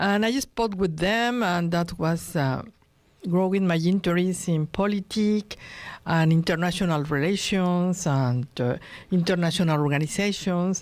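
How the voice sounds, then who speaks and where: A woman speaks in a Spanish accent at a fairly slow pace. Her pitch is fairly low, and her loudness stays very even. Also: ordinary pitch variation. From Mexico, Acapulco. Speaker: diplomat. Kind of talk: radio interview. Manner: halting.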